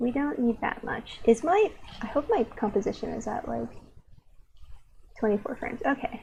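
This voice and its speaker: Her delivery runs at a moderate pace. Long pauses come often between her words. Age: young. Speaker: streaming artist. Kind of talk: casual live-stream chat while drawing. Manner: halting.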